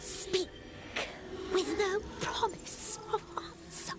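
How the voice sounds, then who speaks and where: Over noticeable background noise, a female-sounding voice in a put-on character voice talks at a very slow pace and an extremely high pitch. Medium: video game. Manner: halting, speaks of self as this one.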